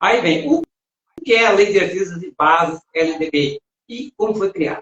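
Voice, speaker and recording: Speaking at a moderate pace, a man with a high voice uses lively intonation, and his loudness swings widely. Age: 60s. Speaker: live show co-host. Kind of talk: talk show discussion. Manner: reading aloud.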